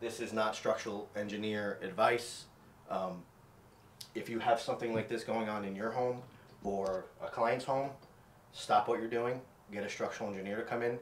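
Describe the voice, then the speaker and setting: A man talking at a fairly quick pace, with audible room echo and light background noise. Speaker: contractor renovating his own home. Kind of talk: tutorial. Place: bathroom. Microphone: camera far.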